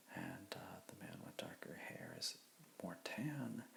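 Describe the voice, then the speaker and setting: A moderate-paced whisper sits over noticeable background noise. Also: man. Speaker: comic book artist. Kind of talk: ASMR drawing tutorial, rambling narration. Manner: soft-spoken.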